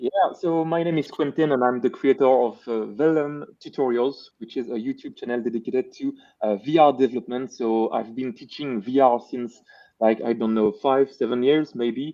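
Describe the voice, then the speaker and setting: This man has a Belgian accent, medium pitch and a moderate pace. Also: ordinary pitch variation. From French-speaking Belgium. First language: French. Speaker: VR developer and YouTube educator. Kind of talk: live stream panel chat. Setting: live stream.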